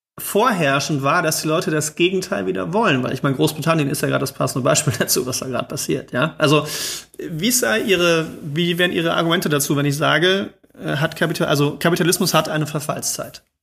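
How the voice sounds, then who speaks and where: A man talks at a fairly quick pace with an unremarkable speaking voice. His pitch is fairly high, with ordinary pitch variation. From East Germany. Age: 30s. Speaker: podcast co-host. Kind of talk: interview.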